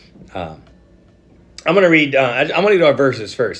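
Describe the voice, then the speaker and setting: At a fairly quick pace, a man talks with audible room echo. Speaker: pastor. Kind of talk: church midweek devotional. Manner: halting, many fillers and repeats.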